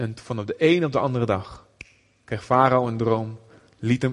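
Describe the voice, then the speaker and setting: This man talks at a medium pitch. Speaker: visiting preacher, missionary. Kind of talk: sermon. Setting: church with audience.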